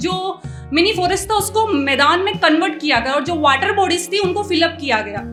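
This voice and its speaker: With music in the background, a woman raises and projects her extremely high voice, her intonation lively. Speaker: poet, spoken word performer. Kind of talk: casual talk to audience introducing the poem.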